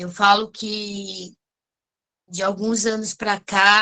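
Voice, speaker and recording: This woman's voice sits at medium pitch with a bright, sharp tone. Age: 60s. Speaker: course facilitator. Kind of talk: casual chat.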